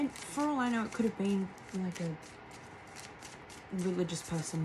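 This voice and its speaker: A woman's very fast speech with lively intonation amid noticeable background noise. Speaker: tarot reader. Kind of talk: channeled tarot reading. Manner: soft-spoken; halting.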